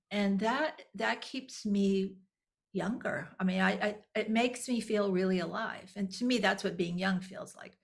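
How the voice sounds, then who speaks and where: A somewhat breathy woman with an American accent at a fairly slow pace. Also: medium pitch for a woman, ordinary pitch variation. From Texas. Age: 60s. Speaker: nonprofit executive director. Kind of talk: interview. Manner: halting, many repeated words.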